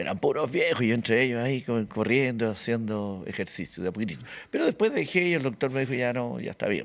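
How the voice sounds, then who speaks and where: A man speaks at a very fast pace with hardly any pauses, his medium pitch showing ordinary variation. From Chile, Santiago (born Antofagasta). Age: 70s. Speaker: actor and comedian. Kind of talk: casual interview chat.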